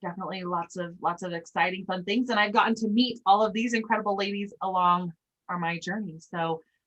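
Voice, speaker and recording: A woman with an American accent, very fast pace and ordinary pitch variation. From Utah. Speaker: sales trainer. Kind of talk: casual group training.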